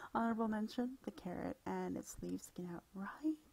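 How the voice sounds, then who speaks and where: Soft-spoken and calm, a woman talks in a relaxed tone at a fairly quick pace. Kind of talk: relaxing bedtime article reading and casual commentary. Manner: soft-spoken, calm, relaxed.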